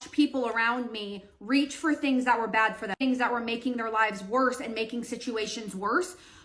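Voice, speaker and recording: The speaker talks at a moderate pace with hardly any pauses and ordinary pitch variation. Noticeable background noise runs underneath. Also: woman, fairly high pitch for a woman. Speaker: social media creator on decluttering and routines. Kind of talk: storytime while doing her hair. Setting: at home doing her hair. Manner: loud.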